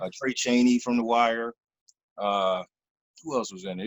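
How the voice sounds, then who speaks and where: At a moderate pace, a man with a Philadelphia accent talks at a medium pitch. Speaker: actor. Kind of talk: interview answer. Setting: video call.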